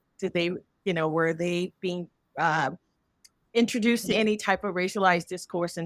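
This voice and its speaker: A woman with an American accent and a normal speaking voice talks at a fairly quick pace with a fairly low pitch and fairly even intonation, on a very clean recording with a silent background and a dry, close sound with no echo. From United States. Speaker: English language educator and researcher. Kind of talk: panel discussion.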